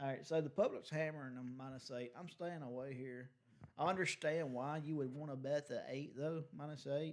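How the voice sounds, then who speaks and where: An unremarkable speaking voice from a man, fairly high in pitch, at a moderate pace with fairly even intonation. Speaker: sports betting podcast co-host. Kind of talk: casual chat.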